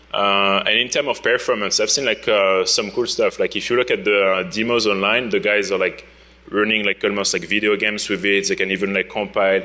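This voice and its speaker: With a French accent, a man talks at a very fast pace with hardly any pauses. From France. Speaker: security researcher, conference speaker. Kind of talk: conference talk. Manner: casual, many fillers.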